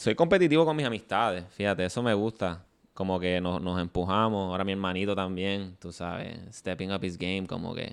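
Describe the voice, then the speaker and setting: On a very clean recording with a silent background, a man with a very deep, low voice speaks at a moderate pace with ordinary pitch variation. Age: 30s. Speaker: comedian. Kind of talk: casual chat.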